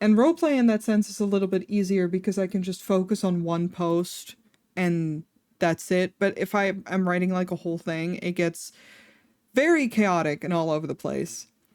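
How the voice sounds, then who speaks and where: In a very clean recording with a silent background, a woman with a Dutch accent speaks at a moderate pace, with a medium pitch and ordinary pitch variation. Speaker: vtuber streamer. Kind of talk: casual chat. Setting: live stream. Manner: rambling with fillers, tangents.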